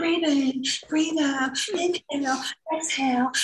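A female-sounding voice puts on a character voice. The pitch sits high for a woman. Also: moderate pace. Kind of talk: put-on yoga voice. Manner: calm, soothing, breathy.

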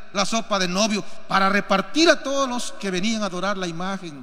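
The voice is raised and projected, with a bright, sharp tone and lively intonation. It moves at a moderate pace, and the room echo is audible. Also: man. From Peru. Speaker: pastor. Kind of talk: sermon. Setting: church.

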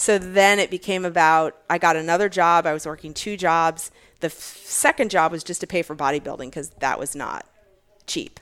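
At a moderate pace, a woman with an American accent speaks in an ordinary speaking voice. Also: big swings in loudness. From Virginia. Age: 40s. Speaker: fitness athlete and bodybuilder. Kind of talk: casual interview chat.

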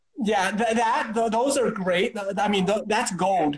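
A man with an American accent, high pitch and moderate pace, over noticeable background noise. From US Midwest. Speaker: chiropractor and martial artist. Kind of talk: casual interview chat. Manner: halting, many repetitions and fillers.

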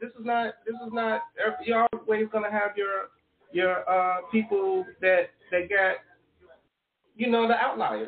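In an American accent, the voice moves at a fairly slow pace with ordinary pitch variation and long, frequent pauses. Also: man, high pitch for a man. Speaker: podcast co-host. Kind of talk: casual chat.

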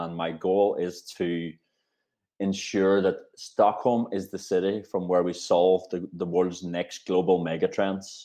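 Very deep and low in pitch, a man with a Northern Irish accent speaks very slowly with a dark, mellow tone and monotone, flat intonation. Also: quiet background. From Northern Ireland. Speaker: talent executive. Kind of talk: interview.

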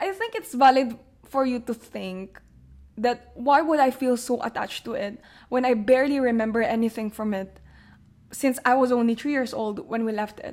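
On a very clean recording with a silent background, a high-pitched woman talks at a moderate pace with ordinary pitch variation. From Philippines. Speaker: podcast host. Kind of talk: personal reflection monologue.

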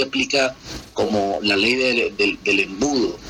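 A man's voice amid noticeable background noise. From Colombia, Valledupar (Caribbean coast). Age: 30s. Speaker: lawyer and Colombian immigrant. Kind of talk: interview. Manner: hesitant, many fillers and repetitions.

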